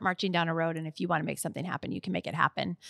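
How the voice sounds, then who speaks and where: Very fast, monotone, flat speech with an American accent, dry and close with no echo, on a very clean recording with a silent background. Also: woman. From US Midwest. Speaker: podcast co-host. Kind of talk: casual chat.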